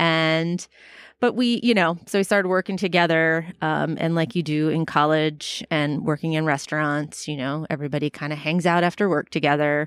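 In an American accent, a woman with a very deep, low pitch speaks with ordinary pitch variation. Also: moderate pace. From Florida, US South. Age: 40s. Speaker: teacher and personal trainer. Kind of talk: casual chat. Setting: outdoors on a porch.

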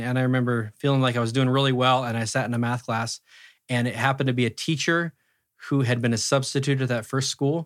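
In a very clean recording with a silent background, a man with an ordinary speaking voice and an American accent talks at medium pitch with fairly even intonation. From US Pacific Northwest, Roseburg, Oregon. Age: 40s. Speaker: musician. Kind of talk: casual interview chat.

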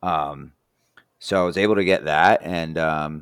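An American accent comes through with ordinary pitch variation on a very clean recording with a silent background. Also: man. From New Jersey. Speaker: former race car driver. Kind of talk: casual chat.

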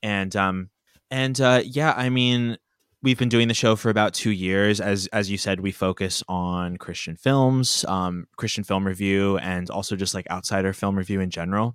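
On a very clean recording with a silent background and a dry, close sound with no echo, a man with an American accent and an unremarkable speaking voice talks at a moderate pace in a fairly low pitch. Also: ordinary pitch variation. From Pennsylvania, US. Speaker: podcast guest, comedy podcaster. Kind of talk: casual chat.

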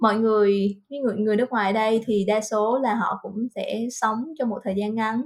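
A woman speaks at a fairly high pitch. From Vietnam, Central Highlands (Lâm Đồng, near Đà Lạt). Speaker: Vietnamese expat worker. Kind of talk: casual interview chat. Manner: hesitant, many fillers.

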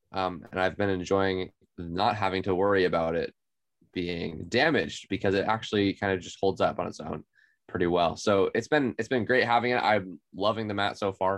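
A man with an American accent and a normal speaking voice, fairly low in pitch, at a moderate pace with fairly even intonation. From Oklahoma (Tulsa). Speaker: board game podcast co-host. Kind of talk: casual chat.

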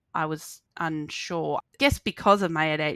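Very deep, low pitch from a woman, captured in a very clean recording against a silent background. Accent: Australian. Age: 30s. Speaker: social work student and court support worker. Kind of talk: casual interview chat.

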